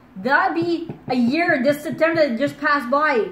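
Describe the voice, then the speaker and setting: The voice moves at a moderate pace with audible room echo. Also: woman. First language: French. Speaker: true crime YouTuber. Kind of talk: casual commentary and reading case details. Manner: halting, stumbles over words.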